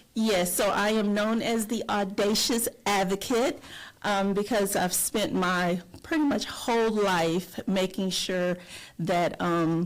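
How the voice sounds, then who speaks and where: In a Southern US accent, a woman speaks at a very slow pace and medium pitch, with ordinary pitch variation and very even loudness. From North Florida. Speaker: retired teacher and advocate. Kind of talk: podcast interview.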